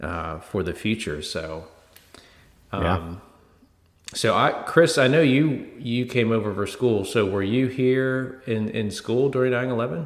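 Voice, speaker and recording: Using an ordinary speaking voice, a man talks fairly slowly at a medium pitch with lively intonation. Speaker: podcast host. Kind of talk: casual chat.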